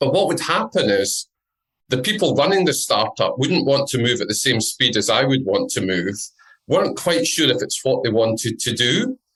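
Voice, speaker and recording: A man talks at a moderate pace in a Scottish accent. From Scotland. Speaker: entrepreneur and business network founder. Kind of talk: podcast interview.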